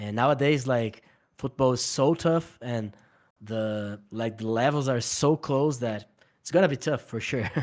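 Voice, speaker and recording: A man in a normal speaking voice, at medium pitch with ordinary pitch variation. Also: very clean recording, silent background. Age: 30s. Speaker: poker stable owner. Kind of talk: interview.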